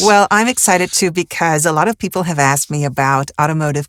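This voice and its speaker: In a dry, close recording with no echo, a woman with a very deep, low voice talks at a very fast pace. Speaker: podcast host, voice actor and actress. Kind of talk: podcast interview, host speaking.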